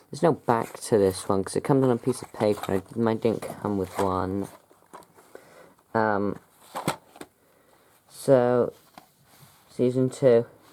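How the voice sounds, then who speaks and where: A British accent at a fairly slow pace. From UK. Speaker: YouTuber reviewing his DVD collection. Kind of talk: casual vlog talk. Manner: hesitant, many fillers.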